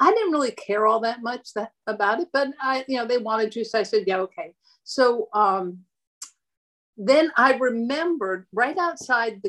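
An unremarkable speaking voice with an American accent moves at a moderate pace. The intonation is lively. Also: woman. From Erie, Pennsylvania, US. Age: 60s. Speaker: host's mother, home cook. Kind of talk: casual chat. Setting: video call.

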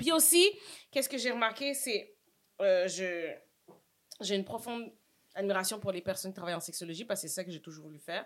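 Lively intonation and an animated tone mark this fairly quick delivery, which has long, frequent pauses and big swings in loudness. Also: woman, medium pitch for a woman. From Montreal (Saint-Michel), Quebec. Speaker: actress and social media personality. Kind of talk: casual chat. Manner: animated, laughs often.

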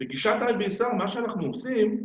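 The room's echo is audible. A man's voice carries through it. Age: 50s. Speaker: stuttering therapist. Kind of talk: interview.

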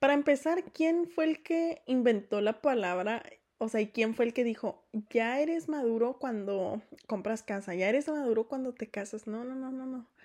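A woman with a high pitch and a dark, mellow tone, at a fairly slow pace. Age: 20s. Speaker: podcast co-host. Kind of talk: casual chat.

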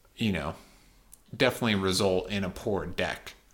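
The man's pitch is fairly low, and his intonation stays fairly even. He talks at a moderate pace. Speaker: podcast co-host. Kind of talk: casual chat about card game.

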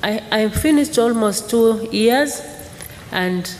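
Speaking very slowly, a woman talks with a Tanzanian accent. There is noticeable background noise. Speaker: church mission worker. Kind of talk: testimony. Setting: church. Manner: halting.

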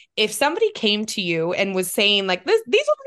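An unremarkable speaking voice from a woman, fairly high in pitch, at a fairly quick pace with lively intonation. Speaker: podcast co-host. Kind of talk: casual interview chat.

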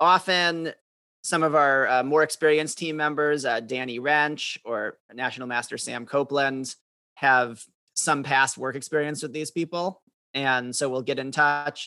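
A man talks at a moderate pace with fairly even intonation and a fairly high pitch. His tone is bright and sharp, and the sound is dry and close with no echo. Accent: American. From US Midwest, Madison, Wisconsin. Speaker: chess master and course designer. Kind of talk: podcast interview.

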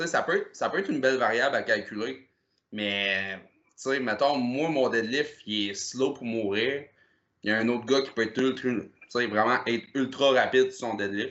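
Here a man uses a normal speaking voice at medium pitch, with ordinary pitch variation and a moderate pace. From Quebec, Gaspésie (Percé area). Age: 30s. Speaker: powerlifter. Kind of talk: casual chat.

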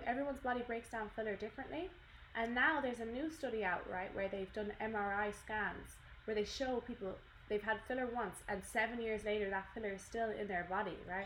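A woman talks at a fairly quick pace in an Irish accent with ordinary pitch variation. Noticeable background noise is present. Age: 20s. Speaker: podcast co-host. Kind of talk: casual chat. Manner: animated.

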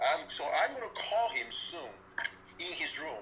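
At a moderate pace, a man speaks while noticeable background noise is present. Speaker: caller. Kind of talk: call-in commentary.

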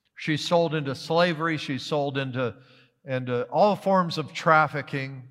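A man with an unremarkable speaking voice and an American accent speaks at a fairly slow pace and a fairly high pitch. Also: fairly even intonation. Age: 60s. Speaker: missionary pastor. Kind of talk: sermon. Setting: church.

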